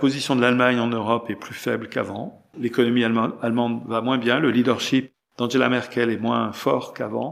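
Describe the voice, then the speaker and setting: This man speaks at a medium pitch with a flat, monotone delivery. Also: fairly quick pace. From France. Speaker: political scientist. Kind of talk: interview.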